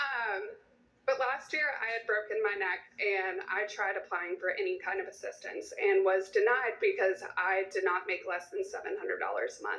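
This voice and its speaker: The room echo is audible as a woman speaks at a moderate pace. Her pitch is high and swings very widely. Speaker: audience member asking a question. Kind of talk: town hall question. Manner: halting.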